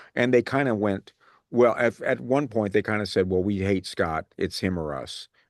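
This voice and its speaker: A man speaks at a moderate pace with a fairly low pitch. The sound is dry and close, without echo, over a quiet background. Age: 60s. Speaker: radio show host. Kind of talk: casual chat. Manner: halting, many fillers.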